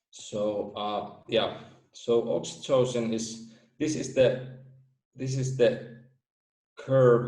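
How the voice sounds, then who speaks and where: A man with a Finnish accent speaks at a very slow pace in a dark, mellow, somewhat breathy voice, keeping a monotone, flat intonation with long, frequent pauses amid audible room echo. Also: medium pitch for a man. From Finland. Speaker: theory creator presenting research. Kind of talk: presentation. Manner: halting.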